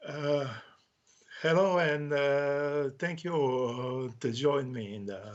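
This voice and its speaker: In a Croatian accent, a man speaks at a very slow pace and a fairly high pitch with ordinary variation. Room echo is audible. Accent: Croatian accent, non-native English. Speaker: author. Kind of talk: casual interview chat. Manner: halting, many hesitations.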